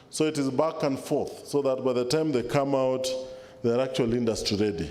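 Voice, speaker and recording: Speaking at a fairly quick pace in a medium pitch, a man keeps his loudness very even amid audible room echo and noticeable background noise. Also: ordinary pitch variation. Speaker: senior government official. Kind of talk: formal speech.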